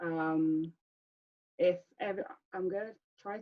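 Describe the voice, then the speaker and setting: A woman with a London accent speaks in a fairly low pitch. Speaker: speaker giving a talk. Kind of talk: presentation with group chat. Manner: stammer.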